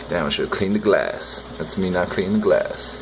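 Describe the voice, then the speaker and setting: Noticeable background noise fills the clip. Over it, a man talks at a moderate pace. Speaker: aquarium hobbyist vlogger. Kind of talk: casual video commentary. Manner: mumbling; relaxed, rambling.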